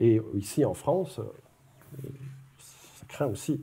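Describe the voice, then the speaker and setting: The voice, in a Quebec accent, sounds somewhat breathy. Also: man. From Quebec, Montreal. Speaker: academic speaker. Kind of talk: public lecture. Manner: conversational, with many hesitations.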